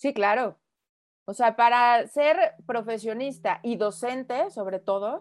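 Here a woman speaks with a Mexican accent. Her pitch is high and her intonation is lively. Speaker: photographer and design teacher. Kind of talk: casual interview.

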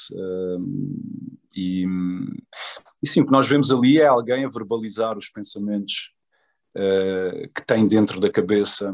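Speaking at a very slow pace with long, frequent pauses, a man of medium pitch shows ordinary pitch variation and big swings in loudness. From Portugal. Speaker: actor. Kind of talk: interview. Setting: video call. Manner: hesitant with fillers.

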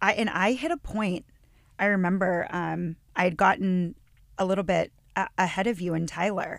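A woman with a normal speaking voice, medium pitch and ordinary pitch variation. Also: moderate pace. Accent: American. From northwestern Pennsylvania. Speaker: yoga and meditation teacher. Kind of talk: casual chat.

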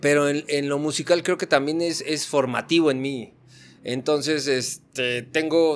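Here a man with a normal speaking voice talks at a fairly slow pace, with fairly high pitch and fairly even intonation. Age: 40s. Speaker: superhero figure collector. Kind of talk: casual chat.

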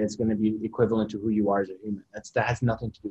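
The voice is somewhat breathy, with a Canadian accent. Intonation stays monotone and flat. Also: man. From Kitchener-Waterloo, Ontario, Canada (Middle Eastern refugee family). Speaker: photographer and YouTuber. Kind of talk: casual interview.

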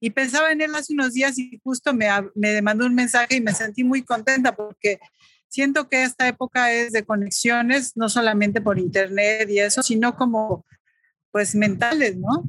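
A woman has an unremarkable speaking voice with a fairly high pitch and ordinary pitch variation. She keeps a moderate pace and very even loudness, with a dry, close sound with no echo. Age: 40s. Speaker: photographer. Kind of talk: casual interview.

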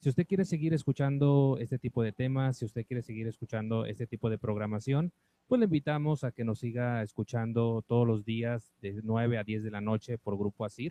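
A man's unremarkable speaking voice, medium in pitch, with ordinary pitch variation, a fairly quick pace and hardly any pauses. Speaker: radio announcer. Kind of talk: radio announcement. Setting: radio studio.

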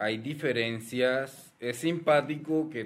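With a normal speaking voice, a man talks at a medium pitch and ordinary pitch variation. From Colombian Caribbean coast, Cartagena. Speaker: advertising professor and researcher. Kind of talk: casual chat.

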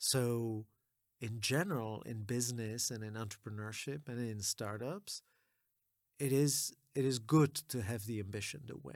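Recorded very cleanly over a silent background, a man with a plain, everyday voice goes at a fairly slow pace with big swings in loudness. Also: medium pitch for a man, ordinary pitch variation. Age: 40s. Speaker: venture capital investor. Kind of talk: interview conversation.

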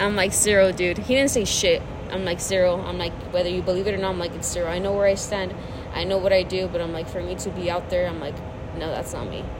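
A woman's fairly even intonation comes through audible room echo and noticeable background noise. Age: 20s. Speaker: podcast co-host, ex-girlfriend. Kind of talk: casual chat.

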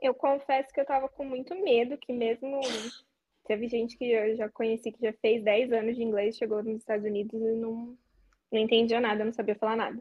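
A woman speaks at a fairly quick pace in a normal speaking voice, her pitch fairly high and her intonation fairly even, while her loudness swings widely. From interior of São Paulo state, Brazil. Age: 20s. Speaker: former au pair. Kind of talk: casual interview.

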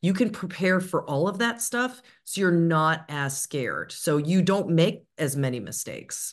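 With hardly any pauses, a woman speaks at a fairly slow pace in a fairly low pitch with lively intonation, over a quiet background. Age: 40s. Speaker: media and public speaking coach. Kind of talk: interview. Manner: smiling while speaking.

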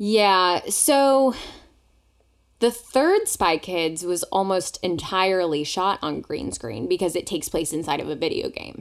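Heard on a very clean recording with a silent background, a woman uses a normal speaking voice with lively intonation. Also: medium pitch for a woman, fairly slow pace. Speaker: podcast co-host. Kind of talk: casual chat.

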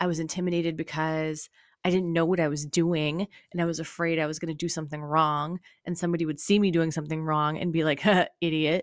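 A woman with a fairly low voice talks at a very fast pace in a flat monotone, recorded very cleanly against a silent background. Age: 30s. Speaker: fitness podcast host and nutrition coach. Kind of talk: casual solo monologue. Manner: casual with frequent fillers and laughs.

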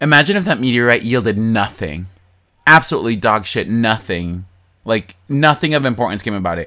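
A man speaks at a fairly quick pace in an animated tone. His sound is bright and sharp. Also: medium pitch for a man, lively intonation. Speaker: podcast co-host. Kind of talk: casual chat. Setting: at home, lying in bed.

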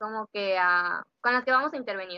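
This woman has a plain, everyday voice, fairly high in pitch, with ordinary pitch variation. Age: 20s. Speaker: social work student. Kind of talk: casual interview chat. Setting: at home, remote recording.

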